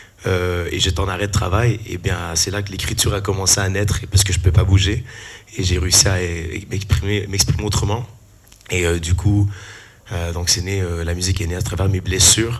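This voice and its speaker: A man with a very deep, low pitch talks at a fairly quick pace and fairly even intonation, with audible room echo and noticeable background noise. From Canada (Quebec). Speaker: musician and musical theatre performer. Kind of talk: panel discussion self-introduction.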